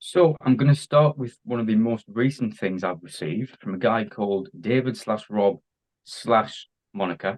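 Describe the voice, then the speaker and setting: In an English accent, a man speaks at a moderate pace and medium pitch with ordinary pitch variation. The sound is dry and close, with no echo. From England. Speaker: diecast collector, YouTuber. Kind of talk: casual interview. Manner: hesitant, many fillers.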